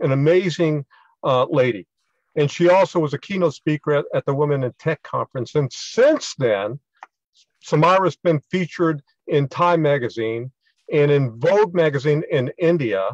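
A man with an American accent speaks at a moderate pace in a fairly high pitch, with ordinary pitch variation and a plain, everyday voice. The sound is dry and close, with no echo. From US. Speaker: cognitive neuroscientist. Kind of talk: talk. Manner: repetitive, stumbling.

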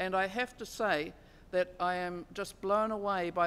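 A woman's medium-pitched voice in a New Zealand accent. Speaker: Māori constitutional advocate; speaker. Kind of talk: lecture. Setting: stage with audience. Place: hall. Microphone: podium.

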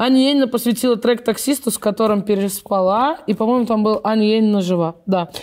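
Fairly quick and at a very even loudness, a woman speaks with a fairly high pitch. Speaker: show host. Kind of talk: casual chat. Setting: studio. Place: studio.

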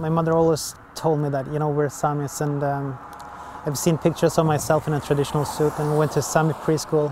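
Here a man talks at a fairly quick pace with a fairly high pitch and flat, monotone intonation. Background noise is noticeable, and the sound is dry with no echo. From southern Sweden. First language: Swedish. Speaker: artist, documentary subject. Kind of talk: documentary interview; interview answer. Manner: halting. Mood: reflective, somewhat frustrated.

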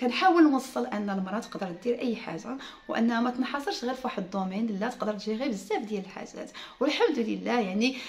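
Fairly high in pitch, a woman's voice comes through. She speaks at a fairly quick pace. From Morocco. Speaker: YouTuber and home furnishing entrepreneur; vlogger. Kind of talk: casual vlog talk to viewers. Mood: earnest, explaining, smiling. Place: home room. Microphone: phone near.

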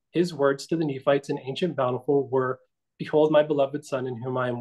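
Against a quiet background, a man talks at a fairly quick pace. His pitch is fairly high and his intonation fairly even. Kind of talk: casual chat. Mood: reverent, earnest. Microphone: video call.

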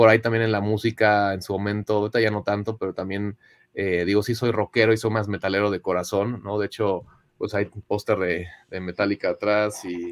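Over a quiet background, a man with a fairly low pitch talks at a fairly quick pace in a monotone, flat intonation. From Mexico City. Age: 30s. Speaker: digital marketing professional; podcast guest. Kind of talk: testimony. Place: home room.

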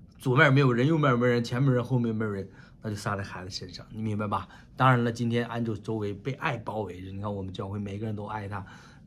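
A man speaks at a very fast pace in an animated tone, his loudness swinging widely. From China. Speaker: pastor. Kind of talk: sermon. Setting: online church meeting. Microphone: webcam.

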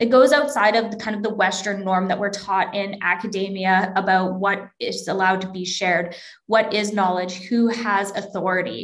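A woman with a western Canadian accent speaks at a medium pitch, with hardly any pauses. Her intonation stays fairly even against a quiet background. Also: moderate pace. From Alberta, Canada (small town near Edmonton). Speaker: academic librarian; presenter. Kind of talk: lecture. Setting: video call. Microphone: webcam.

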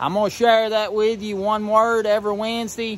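The speaker is a man. He has a Southern Appalachian accent. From Southern Appalachia, western North Carolina. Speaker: grain miller. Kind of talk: casual dialect lesson to camera. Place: open country. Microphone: phone near.

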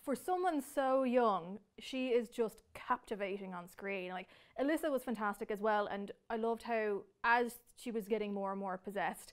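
A woman with an Irish accent speaks at a fairly high pitch against a quiet background. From Ireland. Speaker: entertainment editor and interviewer. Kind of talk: interview. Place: studio.

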